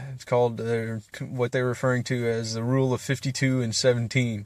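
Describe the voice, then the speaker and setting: Monotone, flat intonation marks this man's voice, pitched at a medium level. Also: very clean recording, silent background. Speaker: vlogger. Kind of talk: casual monologue. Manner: halting, many fillers and repeats.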